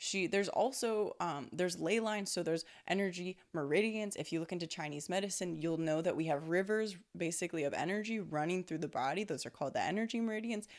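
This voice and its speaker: A woman in an animated tone at a very fast pace, with ordinary pitch variation and hardly any pauses. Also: medium pitch for a woman. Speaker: spiritual intuitive, energy healer. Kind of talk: casual monologue on spirituality. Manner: speeds up when channeling; animated, conversational with fillers.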